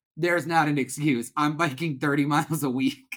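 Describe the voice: Moderate pace and fairly even intonation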